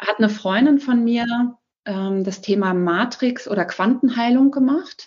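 A woman with an ordinary speaking voice speaks at a fairly slow pace, her fairly high pitch showing ordinary pitch variation. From Germany, Berlin. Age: 40s. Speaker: single mother sharing her story. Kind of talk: casual interview. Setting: evening recording at home.

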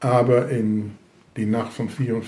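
Through audible room echo, a man with a Dutch accent speaks at medium pitch. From Netherlands. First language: Dutch (speaking German). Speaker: Holocaust survivor. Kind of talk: interview testimony. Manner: halting.

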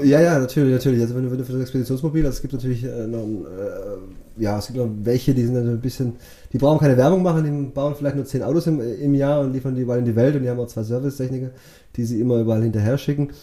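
With a dark, mellow tone, a man at a medium pitch talks very fast in fairly even intonation. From Swabia, Bad Liebenzell (Baden-Württemberg), Portuguese family. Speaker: vehicle shipping agent. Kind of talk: casual interview.

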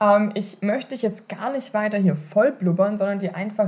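In a medium pitch, a woman speaks with an animated tone and a somewhat breathy sound. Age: 30s. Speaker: online marketing podcast host. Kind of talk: solo podcast monologue.

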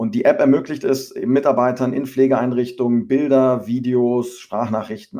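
Moving at a moderate pace, the speech carries a dark, mellow tone. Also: man. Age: 30s. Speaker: startup founder. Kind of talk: interview.

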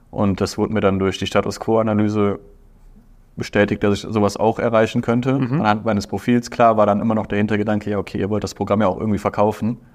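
A fairly low-pitched man at a very fast pace, with monotone, flat intonation. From Aachen, western Germany. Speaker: business graduate, consulting intern. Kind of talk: interview. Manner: hesitant, many fillers.

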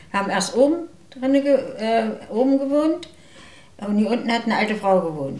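Amid noticeable background noise and audible room echo, a woman with a fairly high pitch speaks at a moderate pace, with very wide pitch swings and long, frequent pauses. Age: 80s+. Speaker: retiree. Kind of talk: casual chat.

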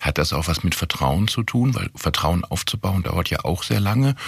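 A man speaks with a very deep, low pitch and lively intonation. His voice is somewhat breathy. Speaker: podcast host, corporate communications. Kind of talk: interview podcast.

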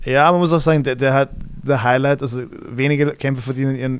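A man with a normal speaking voice talks at a fairly quick pace, medium pitch, and fairly even intonation. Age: 30s. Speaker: MMA fighter and jiu-jitsu coach. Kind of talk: casual chat.

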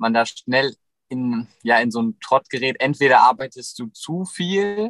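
This man speaks at a medium pitch and a very slow pace with lively intonation, the sound dry and close with no echo. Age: 20s. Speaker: photographer and van nomad. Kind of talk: casual interview. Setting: in a van in Sweden, streamed.

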